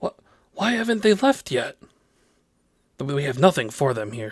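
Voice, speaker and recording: In a gruff, put-on character voice with very wide pitch swings, someone talks at a moderate pace in a dry, close sound with no echo. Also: man, fairly high pitch for a man. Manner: indignant.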